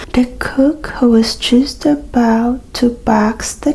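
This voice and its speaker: Against noticeable background noise, a woman with a high pitch and a soothing tone speaks at a very slow pace. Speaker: ASMR creator. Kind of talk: fairy tale reading. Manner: soothing, relaxing.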